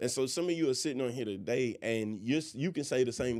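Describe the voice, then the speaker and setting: The recording is very clean, with a silent background. A man speaks at a fairly quick pace and a medium pitch, varying it in an ordinary way. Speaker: pastor. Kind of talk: religious discussion podcast. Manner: loud; projecting.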